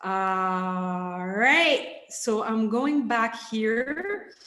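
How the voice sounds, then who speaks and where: There is audible room echo in this recording. The woman speaking has a fairly high pitch. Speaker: leadership coach. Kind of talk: online workshop. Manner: hesitant fillers.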